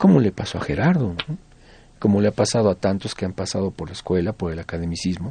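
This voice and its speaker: A man with a Mexico City accent talks very fast in a very deep, low voice with a dark, mellow tone and ordinary pitch variation. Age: 60s. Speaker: folk musician. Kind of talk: radio interview.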